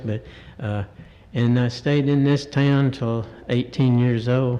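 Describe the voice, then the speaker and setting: At a fairly slow pace, the voice holds a monotone, flat intonation. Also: man. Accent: Southern US. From US South, Cartersville, Georgia. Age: 70s. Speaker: resident making public comment. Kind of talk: public comment at council meeting. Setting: council chamber at microphone. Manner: halting.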